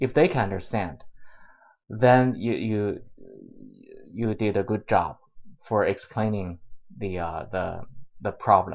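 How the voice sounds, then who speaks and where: A man's fairly low voice with a non-native accent, fairly slow pace, ordinary pitch variation and long, frequent pauses. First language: not English. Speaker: YouTuber, software developer giving career advice. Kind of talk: vlog tutorial monologue. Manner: halting, many filler uhs and repetitions.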